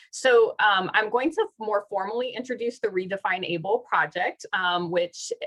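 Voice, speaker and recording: A woman with a fairly high pitch and a bright, sharp tone speaks at a moderate pace with lively intonation, in a dry, close sound without echo. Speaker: professor leading a workshop. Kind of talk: online workshop talk.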